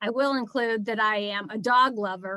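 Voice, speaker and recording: A woman speaks at a fairly slow pace with a fairly high pitch and ordinary pitch variation. Her tone is bright and sharp, and the sound is dry and close with no echo. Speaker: attorney and fundraiser presenting a nonprofit training. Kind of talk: webinar presentation. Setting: video call.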